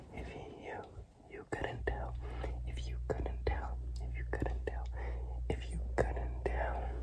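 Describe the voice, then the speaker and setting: A man at a very slow pace with long, frequent pauses and loud background noise. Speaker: ASMR creator. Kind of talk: ASMR whispered talk to camera.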